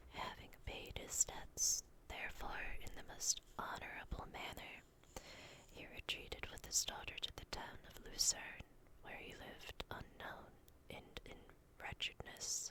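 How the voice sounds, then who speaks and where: A woman whispers at a fairly slow pace. Her loudness swings widely. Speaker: ASMR content creator and vtuber. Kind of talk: whispered ASMR bedtime story reading of a classic novel. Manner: whispered, soft, slow.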